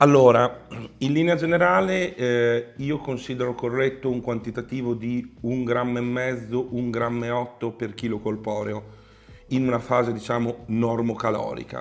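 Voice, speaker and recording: A man speaks at a moderate pace with a medium pitch, fairly even intonation and a normal speaking voice. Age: middle-aged. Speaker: professional bodybuilder and online coach; online coach. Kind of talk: casual Q&A chat. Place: home room.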